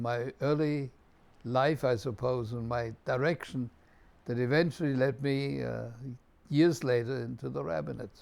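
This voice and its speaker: The speaker is a man with a German accent. He talks at a fairly slow pace. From Germany, Munich. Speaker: rabbi. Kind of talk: personal testimony. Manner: reflective, measured.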